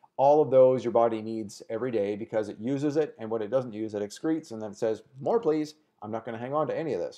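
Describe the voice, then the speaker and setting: A man's dark, mellow voice at medium pitch, very fast in pace, with big swings in loudness. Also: ordinary pitch variation, hardly any pauses. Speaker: wellness show host. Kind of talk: casual health talk show.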